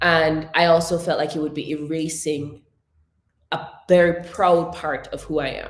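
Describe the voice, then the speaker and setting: A woman's fairly low, monotone voice with flat intonation at a fairly slow pace. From Jamaica. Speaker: speech coach and webinar host. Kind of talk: webinar talk.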